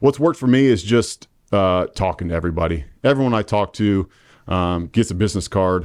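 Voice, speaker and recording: With a very deep, low pitch and lively intonation, a man is captured in a very clean recording with a silent background and a dry, close sound with no echo. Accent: Midwestern US. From Indiana (Marion). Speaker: real estate agent. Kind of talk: casual interview. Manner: halting, many fillers.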